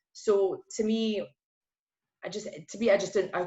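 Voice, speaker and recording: The speaker is a woman. She has a Glaswegian accent. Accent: Glaswegian Scottish. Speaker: PR account manager. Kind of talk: podcast interview. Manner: casual, hesitant with many fillers.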